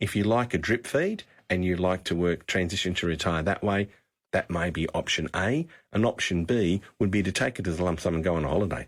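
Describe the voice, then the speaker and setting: A man with an Australian accent, a very deep, low pitch and ordinary pitch variation, at a fairly quick pace with very even loudness, in a very clean recording with a silent background. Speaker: financial adviser. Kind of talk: talkback radio advice.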